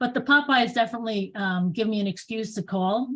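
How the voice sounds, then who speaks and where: With a New York accent, a woman speaks at a moderate pace, her pitch varying in an ordinary way. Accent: New York accent, still noticeable. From New York, Bronx. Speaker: real estate agent. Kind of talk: casual chat.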